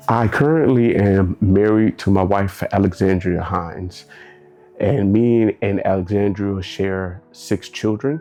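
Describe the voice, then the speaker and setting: A fairly slow voice in an American accent, with ordinary pitch variation, very even loudness and music in the background. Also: man, fairly low pitch for a man. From Texas, Dallas. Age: 30s. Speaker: military veteran. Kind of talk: interview.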